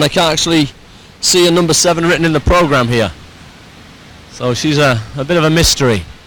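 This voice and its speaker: Over noticeable background noise, a man with a Teesside accent talks at a fairly quick pace in a fairly high pitch. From northeast England, Middlesbrough. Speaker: sports commentator. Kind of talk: live commentary.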